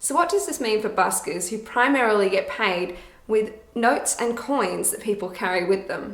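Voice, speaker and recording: The speaker has an Australian accent and lively intonation at a moderate pace. Noticeable background noise is present. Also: woman, fairly high pitch for a woman. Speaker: busker, musician. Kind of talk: scripted talk to camera. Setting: echoey room, reverb.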